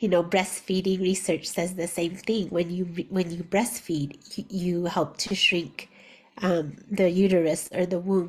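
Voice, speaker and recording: A woman talks at a fairly slow pace in a medium pitch. Her intonation is monotone and flat. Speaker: early childhood educator. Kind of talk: conference talk. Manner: halting.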